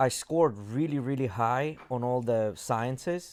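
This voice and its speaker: A man with a non-native accent at medium pitch, with ordinary pitch variation, on a very clean recording with a silent background. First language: not English. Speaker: podcast host. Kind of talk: casual chat.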